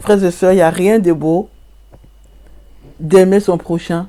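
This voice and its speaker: Delivered at a moderate pace, the dark, mellow voice keeps its intonation fairly even. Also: woman. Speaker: self-styled prophetess and online preacher. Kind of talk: sermon. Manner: halting.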